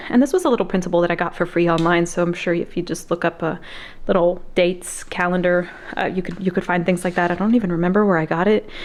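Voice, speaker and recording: A woman speaks very rapidly. Her voice sits on the fairly low side. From Mexican heritage, US. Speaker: homeschooling mom, video creator. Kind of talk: casual tutorial. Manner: fast; animated.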